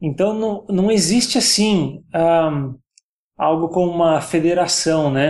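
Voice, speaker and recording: A man's fairly high voice, a plain, everyday voice, with ordinary pitch variation. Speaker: YouTuber on virtual racing. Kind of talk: casual podcast chat.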